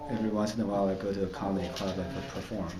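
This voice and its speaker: Fairly low in pitch, a man speaks quickly with a Chinese accent. Audible echo fills the room. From China. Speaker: comedian. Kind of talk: interview. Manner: halting, with fillers.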